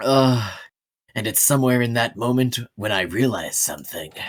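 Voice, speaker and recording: The speaker uses a put-on character voice pitched low to middle. The pace is moderate. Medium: role play.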